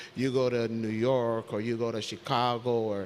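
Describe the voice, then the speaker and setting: A man talks in a monotone, flat intonation with a Saint Croix accent. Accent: Crucian local twang. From US Virgin Islands, St. Croix. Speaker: territorial health official. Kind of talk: panel discussion.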